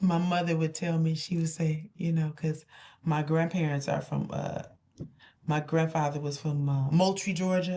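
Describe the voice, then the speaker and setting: A woman speaks at a moderate pace in a very deep, low voice with a flat, monotone delivery. Her tone is dark and mellow, somewhat breathy. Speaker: talk show co-host. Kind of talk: casual chat.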